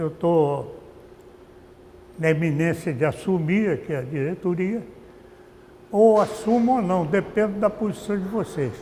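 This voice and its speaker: A man's high voice at a fairly slow pace, with ordinary pitch movement and long, frequent pauses. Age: 80s+. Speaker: former football club director. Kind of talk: interview testimony. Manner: halting, with frequent repetitions.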